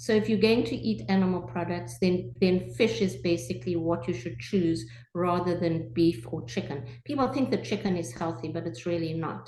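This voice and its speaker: Amid noticeable background noise, a woman talks at a moderate pace in a fairly low pitch with very wide pitch swings. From South Africa. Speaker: family doctor. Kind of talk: interview answer.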